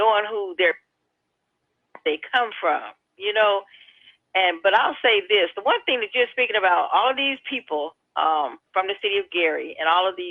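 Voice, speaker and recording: An American-accented woman's medium-pitched voice at a moderate pace, with lively intonation and long, frequent pauses. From Hammond, Indiana (US Midwest). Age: 60s. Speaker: radio caller. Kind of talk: call-in radio chat.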